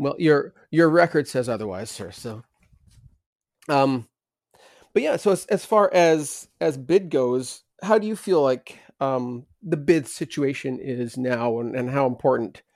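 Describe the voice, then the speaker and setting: Captured in a very clean recording with a silent background, a man with a medium pitch and lively intonation talks at a fairly slow pace, leaving long, frequent pauses. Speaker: podcast co-host. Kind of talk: casual podcast chat.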